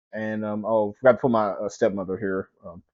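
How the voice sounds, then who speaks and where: Here a man talks at a fairly quick pace. He has an East Texas accent. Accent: East Texas Southern US. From East Texas (Mount Pleasant). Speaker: podcast host. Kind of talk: personal storytelling. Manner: halting, repetitive.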